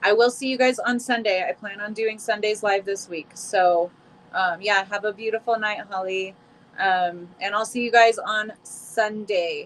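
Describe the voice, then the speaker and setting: A woman with a fairly high pitch and ordinary pitch variation speaks at a fairly slow pace against noticeable background noise. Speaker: tarot reader. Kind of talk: live stream chat. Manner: casual, warm.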